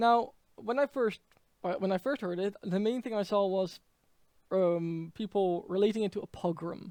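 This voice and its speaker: In a Dutch accent, a man speaks at a high pitch with a dark, mellow tone and fairly even intonation. His pace is moderate, and the sound is dry and close with no echo. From Netherlands. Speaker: political commentator. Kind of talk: political commentary monologue. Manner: halting, many fillers.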